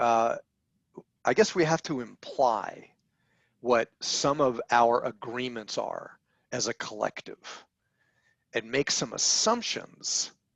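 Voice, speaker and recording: A man speaking very slowly, with long, frequent pauses. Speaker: podcast co-host. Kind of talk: casual discussion.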